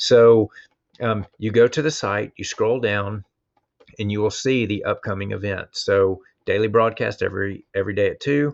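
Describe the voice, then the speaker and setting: With fairly even intonation, a man's fairly low voice keeps a moderate pace. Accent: Southern US. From US South. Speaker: instructional technology coach. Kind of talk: online presentation. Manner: casual, hesitant with fillers.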